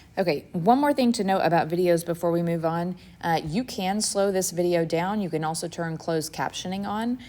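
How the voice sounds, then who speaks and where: The voice has a dark, mellow tone and ordinary pitch variation, moving at a fairly quick pace with hardly any pauses. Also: woman, fairly low pitch for a woman. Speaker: math teacher. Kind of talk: lecture. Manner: fast.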